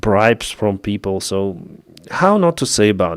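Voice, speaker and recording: This man has a Ukrainian accent and a fairly low pitch, speaking at a fairly slow pace with lively intonation. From Ukraine. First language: Russian. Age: 30s. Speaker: YouTube war news commentator. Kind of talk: live stream chat. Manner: halting.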